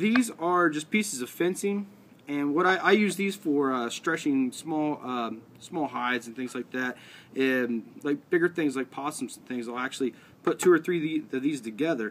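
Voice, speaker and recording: Light background noise sits behind a man speaking at a moderate pace. His intonation is lively, with big swings in loudness. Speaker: outdoors crafts demonstrator. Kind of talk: tutorial. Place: garden.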